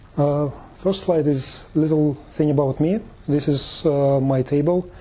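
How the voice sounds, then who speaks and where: At a fairly slow pace, a man with a non-native accent speaks at a very even loudness and with fairly even intonation. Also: fairly high pitch for a man. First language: not English. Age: 30s. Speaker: tech meetup presenter. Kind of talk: presentation. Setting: meetup talk with audience. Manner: halting, many fillers.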